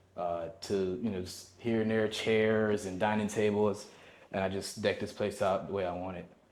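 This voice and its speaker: The speech moves at a moderate pace with monotone, flat intonation and a relaxed tone, and audible room echo fills the recording. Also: man, fairly low pitch for a man. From Jamaica. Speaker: military veteran and expat. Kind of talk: casual chat. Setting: home tour in condo.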